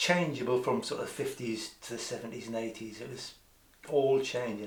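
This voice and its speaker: Speaking with a Newcastle accent at a moderate pace, a man is heard through audible room echo. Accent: Newcastle (Geordie), still noticeable. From northern England, Newcastle. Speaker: community theatre member. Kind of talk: casual interview. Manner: halting, many restarts.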